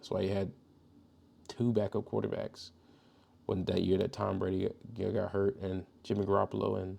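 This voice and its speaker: A quiet man with an American accent, a fairly low pitch, a dark, mellow tone and vocal fry, at a moderate pace with long, frequent pauses. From Georgia, US South. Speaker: podcast host. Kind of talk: casual monologue. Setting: at home, son sleeping next room. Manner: quiet, kept low.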